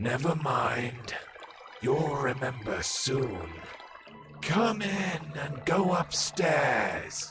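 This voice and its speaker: Putting on a character voice with a calm tone, a man speaks at a very slow pace and a fairly high pitch, making very wide pitch swings over clear background noise. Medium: video game. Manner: calm, unhurried, cryptic.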